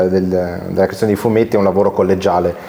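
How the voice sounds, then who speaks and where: A man speaks with an Italian accent. Noticeable background noise is present. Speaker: interviewer. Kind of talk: interview. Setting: comics convention.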